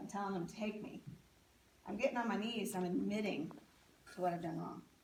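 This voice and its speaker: A woman at medium pitch talks at a very fast pace. Audible room echo and noticeable background noise come through. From US, military family, moved around. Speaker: speaker sharing life story. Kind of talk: testimony.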